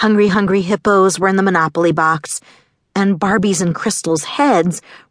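A person reads aloud in a natural voice, and the background is quiet.

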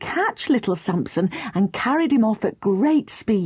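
The voice reads aloud naturally, with lively intonation.

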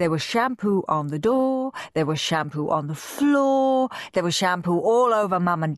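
Lively intonation carries this passage. It is read aloud in a natural voice.

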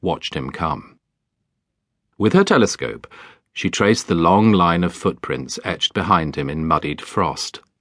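A man with a British accent speaks at a very deep, low pitch with vocal fry. His intonation is lively. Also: quiet background. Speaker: audiobook narrator. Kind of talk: dramatic audiobook narration of a children's fantasy story, reading aloud. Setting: studio. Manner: hushed, storytelling tone with spooky, wintry atmosphere, slow deliberate pacing.

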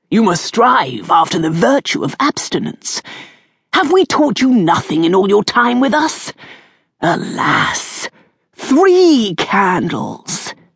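A put-on character voice at a fairly high pitch, with very wide pitch swings and a fairly slow pace. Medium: read story. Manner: unctuous, mock-sad, condescending.

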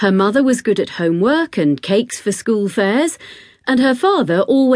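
The intonation turns lively during this plain reading aloud.

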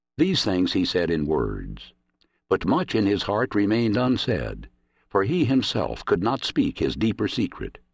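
Against a quiet background, a man talks at a fairly slow pace with very even loudness. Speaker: audiobook narrator. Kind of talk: dramatic audiobook narration of prose poetry, read aloud. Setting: studio. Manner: solemn, measured and lyrical, with a prophetic, reverent cadence.

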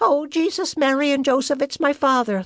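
A woman's put-on character voice, high in pitch and shrill, at a moderate pace with ordinary pitch variation. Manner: screeching, panicked.

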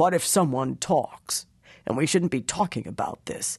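A man puts on a raspy character voice at a fairly high pitch, with lively intonation and a moderate pace. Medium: read story. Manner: gruff, threatening.

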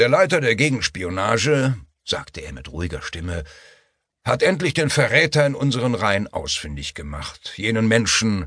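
With vocal fry and very wide pitch swings, a man speaks at a medium pitch and a moderate pace. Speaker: audiobook narrator. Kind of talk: dramatic audiobook narration, tense thriller scene read aloud. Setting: studio. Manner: shifts between characters, clipped and formal for Frank and Emma.

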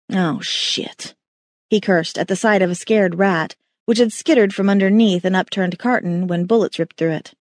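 Recorded with a dry, close sound with no echo against a quiet background, a woman has an ordinary speaking voice at a medium pitch with ordinary pitch variation. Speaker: audiobook narrator. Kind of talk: dramatic audiobook narration of a thriller. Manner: tense, suspenseful, building urgency; shifts to clipped, shouted lines in action moments.

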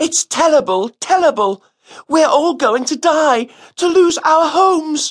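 A put-on character voice, high-pitched, at a fairly slow pace. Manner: frightened, distressed.

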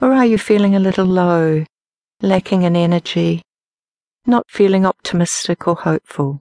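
A woman talks in a normal speaking voice at medium pitch, her loudness very even. The sound is dry and close with no echo, against a quiet background. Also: ordinary pitch variation. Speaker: meditation teacher and audiobook narrator. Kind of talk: guided meditation, slow step-by-step body-scan and breath-awareness instructions. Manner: slow, calm, unhurried pacing with pauses between instructions; gentle, soothing, softly directive.

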